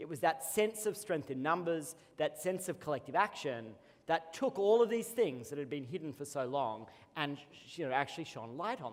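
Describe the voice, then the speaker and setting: Speaking with an Australian accent, a man with a fairly high pitch moves at a moderate pace through very wide pitch swings. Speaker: co-founder and CEO, conference keynote speaker. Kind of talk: keynote speech. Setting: conference stage with audience.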